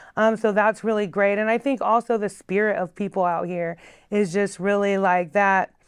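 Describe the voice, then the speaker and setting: A woman with a plain, everyday voice speaks in an American accent at a moderate pace, her medium pitch and fairly even intonation heard over a quiet background. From North Carolina and Oregon. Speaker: community activist. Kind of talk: interview. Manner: casual with many fillers.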